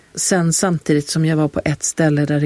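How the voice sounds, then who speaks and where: A woman speaks at a moderate pace with a very deep, low pitch. Her tone is dark and mellow, and the sound is dry and close with no echo. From Halland, Sweden. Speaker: author and actor. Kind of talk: interview.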